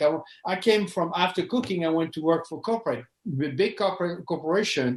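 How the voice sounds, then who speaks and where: A man speaks in a French accent at a high pitch. His pace is fairly quick, with ordinary pitch variation. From France. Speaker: knife sharpening business owner. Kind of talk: interview. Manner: halting, repeats words.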